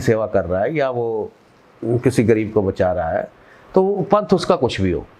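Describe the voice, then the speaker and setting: A man in a Punjabi accent speaks with very wide pitch swings. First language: Punjabi (speaking Hindi). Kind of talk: interview. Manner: halting.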